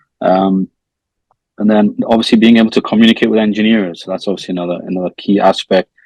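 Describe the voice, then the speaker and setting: Speaking at a very fast pace, a man with a fairly low pitch and fairly even intonation comes through in a dry, close sound with no echo. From northeast England, Newcastle. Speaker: product manager. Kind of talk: interview. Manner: soft-spoken; halting, many fillers.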